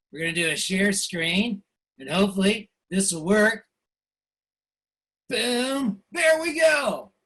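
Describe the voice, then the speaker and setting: This man's voice is high, raised and projected, with very wide pitch swings. He talks very slowly, leaving long, frequent pauses. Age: 60s. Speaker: political cartoonist. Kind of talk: presentation. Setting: video call from home studio. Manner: hesitant, many fillers.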